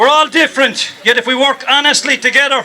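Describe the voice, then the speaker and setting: Raised and projected, a man's extremely high-pitched voice in an Irish accent keeps a monotone, flat intonation at a moderate pace, with music in the background. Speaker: storyteller. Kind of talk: protest rally speech.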